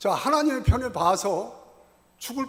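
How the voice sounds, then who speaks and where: A man speaks with very wide pitch swings against noticeable background noise. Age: 70s. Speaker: church elder giving Bible lecture. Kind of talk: Bible lecture. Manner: conversational, colloquial.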